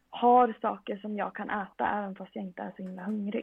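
A woman's fairly high voice in a flat monotone at a moderate pace. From Sweden, Västerås. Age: 20s. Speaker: medical student and powerlifter. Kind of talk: casual interview.

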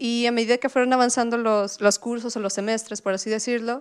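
Moderate pace and fairly even intonation from a woman. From Mexico, Puebla. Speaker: frontend developer. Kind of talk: interview storytelling. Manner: hesitant with fillers.

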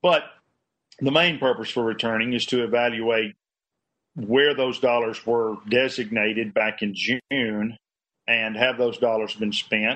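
A man talks at a medium pitch. His pace is fairly slow and his intonation fairly even. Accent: Southern US. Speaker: state politician. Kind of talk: press forum remarks. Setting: video call.

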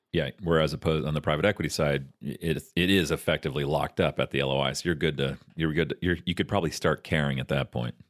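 In a very deep, low voice with vocal fry, a man speaks at a very fast pace with fairly even intonation. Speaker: investor and podcast co-host. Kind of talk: casual conversational explanation. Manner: bantering, jokey.

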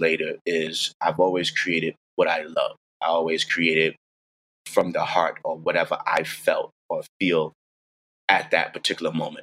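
The speech comes in a New York accent at a fairly slow pace, with a dry, close sound and no echo. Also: man. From New York, the Bronx. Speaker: music producer. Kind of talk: interview.

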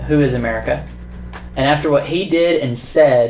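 A man speaks in an unremarkable speaking voice at a moderate pace. His intonation stays fairly even. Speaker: podcast co-host. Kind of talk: casual conversational podcast chat.

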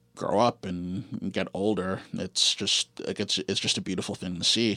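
With a Canadian accent, a man speaks in a fairly low pitch and a bright, sharp tone on a very clean recording with a silent background. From Canada, Guelph, Ontario. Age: 30s. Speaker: music producer. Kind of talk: interview. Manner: hesitant, many fillers.

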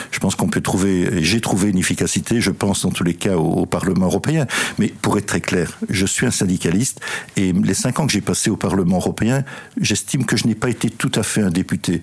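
Over noticeable background noise, a man talks at a fairly quick pace in a fairly low voice, with ordinary pitch variation and very even loudness. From Belgium. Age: 60s. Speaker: politician and former trade unionist. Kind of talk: interview. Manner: halting.

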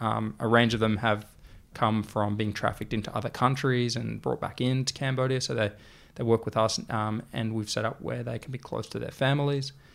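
The speaker talks at a fairly quick pace with an Australian accent. The intonation stays fairly even. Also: man, medium pitch for a man. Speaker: clothing brand founder. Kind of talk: interview.

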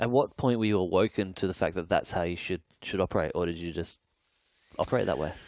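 A man's very deep, low voice in an Australian accent, very fast, with ordinary pitch variation and a dry, close sound free of echo. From Australia, Adelaide. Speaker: executive coach, podcast host. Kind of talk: interview.

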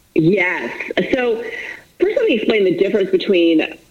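A woman with an American accent speaks at a very slow pace, pitched fairly high with very wide pitch swings. Noticeable background noise can be heard. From Florida. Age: 40s. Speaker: author and fitness coach. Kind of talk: interview.

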